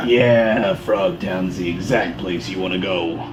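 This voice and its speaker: Over loud background noise, a man does a put-on character voice with a very deep, low pitch. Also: fairly slow pace. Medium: actual play. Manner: folksy, chatty.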